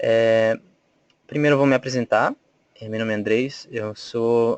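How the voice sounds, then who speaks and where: Dry and close with no echo, a man with a Bolivian accent speaks at a fairly slow pace and medium pitch in a monotone, flat intonation. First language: Spanish (speaking Portuguese). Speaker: volunteer trainer. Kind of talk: webinar presentation. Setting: online webinar. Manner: hesitant, many fillers.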